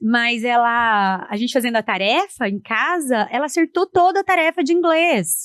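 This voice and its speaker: Very wide pitch swings in a dry, close sound with no echo. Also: woman. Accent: strong Paraná. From Paraná, southern Brazil. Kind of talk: podcast interview.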